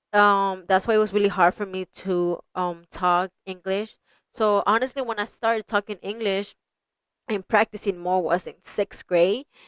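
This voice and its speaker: At a moderate pace, a woman speaks at a medium pitch with fairly even intonation. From Houston, Texas, Spanish-speaking Mexican family. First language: Spanish. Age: 20s. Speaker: podcast host. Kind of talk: casual chat. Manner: halting, many fillers and Spanish code-switching.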